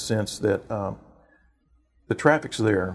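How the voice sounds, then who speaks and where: Medium in pitch, a man talks with a Texan accent. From Texas, Houston area. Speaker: mayor. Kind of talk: interview. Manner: halting, many fillers.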